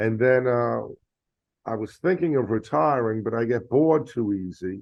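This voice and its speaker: A man talks at a fairly slow pace. He has a New York accent. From New York, the Bronx. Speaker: retired Marine officer, board director. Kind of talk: podcast interview.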